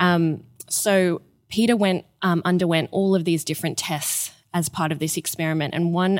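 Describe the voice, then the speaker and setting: A woman with an Australian accent speaks at a moderate pace, her fairly low pitch held in fairly even intonation. The sound is dry and close with no echo, on a very clean recording with a silent background. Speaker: museum curator. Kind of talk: interview intro, explanatory chat.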